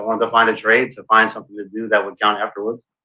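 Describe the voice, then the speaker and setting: Bright and sharp in tone, a man speaks with an American accent. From Brooklyn, New York, then South Florida. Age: 50s. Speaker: navy veteran. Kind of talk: casual chat.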